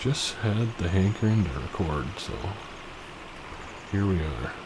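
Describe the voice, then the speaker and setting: A soft-spoken voice with lively intonation talks at a fairly slow pace. Audible room echo and noticeable background noise surround it. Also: man, very deep, low pitch for a man. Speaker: gaming video creator. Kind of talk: gameplay commentary. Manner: casual, halting with fillers.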